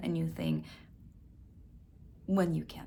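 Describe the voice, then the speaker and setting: Spoken at a moderate pace with a Russian accent, the voice carries audible room echo. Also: woman. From Russia (Siberia). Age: 40s. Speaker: actor. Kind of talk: audition self-introduction.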